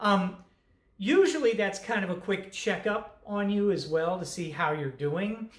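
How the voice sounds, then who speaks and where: A woman at a fairly slow pace with ordinary pitch variation, audible room echo and a quiet background. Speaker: college instructor. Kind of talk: course introduction talk. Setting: recorded online lecture video. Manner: casual, with many fillers. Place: home room. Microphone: webcam.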